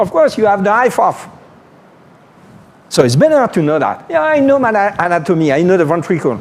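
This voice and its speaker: A man speaks with a French accent, his pitch swinging very widely. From France. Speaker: neurosurgeon. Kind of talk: lecture. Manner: animated.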